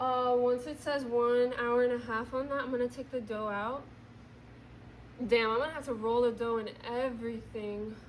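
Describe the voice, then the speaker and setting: At a moderate pace, a woman speaks in a high, monotone voice with flat intonation, and the room echo is audible. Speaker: vlogger. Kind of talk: casual vlog narration while baking. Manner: loud, yelling.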